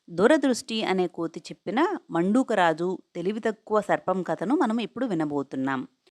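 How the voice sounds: Lively intonation in a natural reading voice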